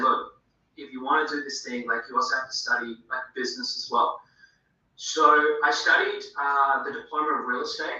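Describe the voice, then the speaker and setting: A man speaks with an Australian accent. His loudness swings widely. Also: moderate pace. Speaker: film director, actor and auctioneer. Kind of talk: casual interview answer.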